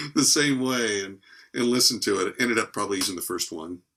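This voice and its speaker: There is ordinary pitch variation in this man's bright, sharp tone. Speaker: voice over actor. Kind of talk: interview answer.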